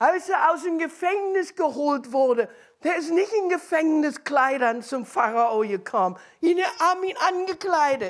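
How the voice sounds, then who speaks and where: Speaking at a fairly slow pace with a slight non-native accent, a woman's extremely high voice makes very wide pitch swings on a very clean recording with a silent background. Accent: slight foreign accent in German. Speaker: preacher. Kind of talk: sermon.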